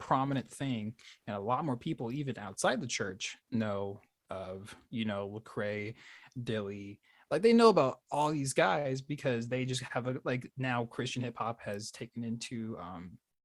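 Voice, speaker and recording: A man at a medium pitch and a fairly slow pace, in a very clean recording with a silent background. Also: ordinary pitch variation. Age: 20s. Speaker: podcast co-host. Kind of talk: casual chat. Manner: halting, many fillers.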